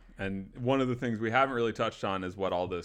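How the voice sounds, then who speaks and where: Against a quiet background, a man with a fairly low pitch talks in an unremarkable speaking voice. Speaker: podcast host. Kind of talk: casual chat.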